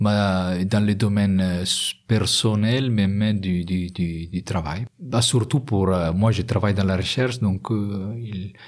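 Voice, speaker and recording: A man with an Italian accent talks at a very slow pace in a fairly low pitch, with hardly any pauses. The recording is very clean, with a silent background. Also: fairly even intonation. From Italy. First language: Italian (speaking French). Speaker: industrial research engineer. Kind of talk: interview. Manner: halting, many hesitations.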